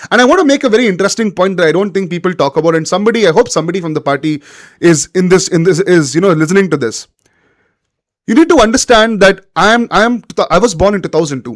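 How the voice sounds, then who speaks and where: A man with a Kannada accent talks at a very fast pace in a high voice. His tone is animated and his intonation lively. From India, Bangalore (Karnataka). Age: 20s. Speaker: political commentator. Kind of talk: live-stream political monologue. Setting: live stream with chat.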